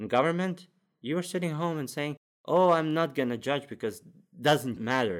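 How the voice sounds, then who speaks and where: A man with a Latvian accent on a very clean recording, silent background. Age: 20s. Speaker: podcast agency founder. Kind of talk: casual interview chat. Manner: energetic.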